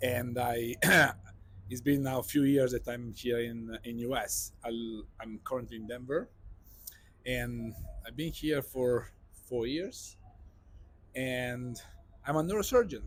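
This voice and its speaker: Speaking in an Italian accent, a man with a medium-pitched, somewhat breathy voice goes at a fairly slow pace, leaving long, frequent pauses. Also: fairly even intonation. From Italy (Sicily). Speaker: neurosurgeon. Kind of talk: interview podcast.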